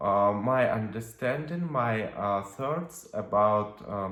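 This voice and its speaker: A man with a Russian accent and a fairly low pitch speaks very slowly amid audible room echo. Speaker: witch and tarot reader. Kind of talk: video monologue. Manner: halting, many fillers.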